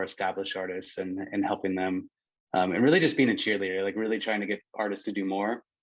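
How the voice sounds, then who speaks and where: Over a quiet background, a man with an American accent speaks at a fairly low pitch. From Pennsylvania. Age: 30s. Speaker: nonprofit founder. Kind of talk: panel discussion.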